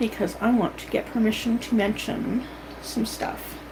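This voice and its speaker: A woman speaks with a Canadian accent at a fairly high pitch. Background noise is noticeable. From Canada. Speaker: vlogger. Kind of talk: casual monologue.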